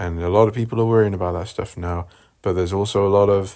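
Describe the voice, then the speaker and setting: A man talks in a monotone, flat intonation. The recording is very clean, with a silent background. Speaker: podcast host. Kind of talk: casual solo monologue. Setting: at home, in the bath. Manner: rambling, stumbling over words.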